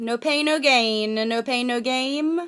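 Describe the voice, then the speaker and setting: A woman with lively intonation against a quiet background. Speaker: beauty vlogger. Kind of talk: casual vlog chat. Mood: jokey, candid. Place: home room. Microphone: webcam.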